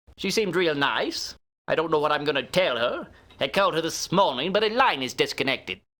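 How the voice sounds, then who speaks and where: A man's gruff, put-on character voice, high-pitched, at a fairly quick pace with lively intonation, on a very clean recording with a silent background. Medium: video game. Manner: gruff, blunt.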